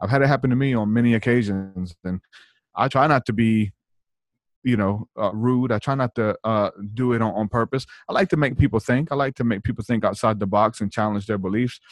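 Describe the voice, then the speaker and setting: A man with an American accent and a normal speaking voice talks fairly quickly at a medium pitch, the sound dry and close with no echo. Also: ordinary pitch variation. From not from the US South. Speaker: musician and former evangelist. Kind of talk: casual interview.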